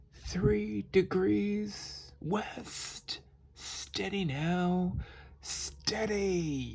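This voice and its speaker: A put-on character voice sits at a low-to-middle pitch. The pace is very slow. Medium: read story. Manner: commanding, wicked.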